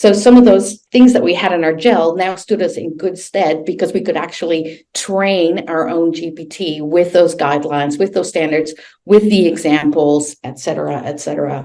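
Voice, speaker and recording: Dark and mellow in tone, a woman's fairly low voice runs on with hardly any pauses. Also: ordinary pitch variation, moderate pace. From Netherlands. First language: Dutch. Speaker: learning design director. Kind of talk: webinar presentation. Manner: hesitant, many fillers.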